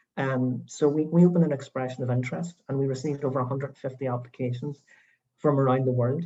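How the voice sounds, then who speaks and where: A man with a Northern Irish accent speaks at a fairly quick pace and medium pitch. His voice is somewhat breathy, with fairly even intonation. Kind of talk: panel discussion on video call. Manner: hesitant, many fillers.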